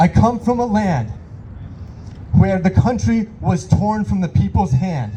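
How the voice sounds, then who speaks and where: Over noticeable background noise, the speaker moves at a fairly slow pace with long, frequent pauses and very wide pitch swings. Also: man, high pitch for a man. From Iran. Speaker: rally speaker, local business owner. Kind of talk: protest rally speech. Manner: impassioned.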